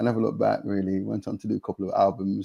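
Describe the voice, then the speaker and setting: A man speaks very fast in an East Midlands accent. The sound is dry and close, with no echo. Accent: British Nottingham. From England, Nottingham. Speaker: gospel musician and songwriter. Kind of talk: interview conversation. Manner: halting, with repetitions.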